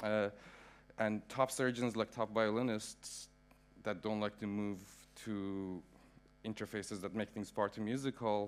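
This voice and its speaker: On a very clean recording with a silent background, a man speaks in a fairly low pitch. His intonation is monotone and flat, with long, frequent pauses. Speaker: media artist. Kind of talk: artist talk. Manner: fast.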